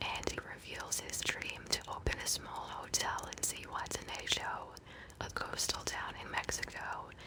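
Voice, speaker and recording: Someone is whispering at a moderate pace amid noticeable background noise. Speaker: ASMR podcast host. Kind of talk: soft-spoken ASMR bedtime podcast commentary. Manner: soft-spoken, whispery, calming.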